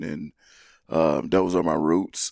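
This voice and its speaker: A man with a very deep, low pitch talks in an American accent, with ordinary pitch variation. The recording is very clean, with a silent background. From Atlanta, Georgia. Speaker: former college football player. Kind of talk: casual interview.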